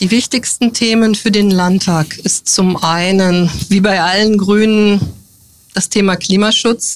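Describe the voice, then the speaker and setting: A woman speaks at a very slow pace, her loudness very even throughout. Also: medium pitch for a woman, fairly even intonation. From northern Hesse, Germany. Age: 50s. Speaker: politician. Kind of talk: interview.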